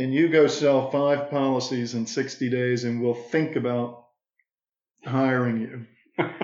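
With audible room echo around him, a man speaks very slowly at a medium pitch. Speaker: financial services business owner. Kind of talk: casual interview conversation.

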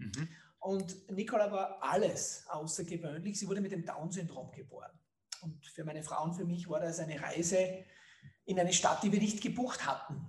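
A man talks at a moderate pace in a high voice. His pitch moves in an ordinary way. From Austria, Styria (Leoben). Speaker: marketing entrepreneur. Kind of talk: interview.

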